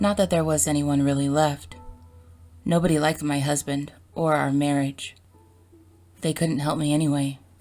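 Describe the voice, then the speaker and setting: With music in the background, a woman with a very deep, low pitch speaks with long, frequent pauses. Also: fairly even intonation, moderate pace. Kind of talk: horror story narration.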